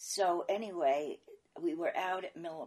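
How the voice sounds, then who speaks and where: This woman has a New York accent. She speaks at a fairly slow pace. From New York, Brooklyn. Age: 80s+. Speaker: interviewee recalling her life. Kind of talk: oral history interview.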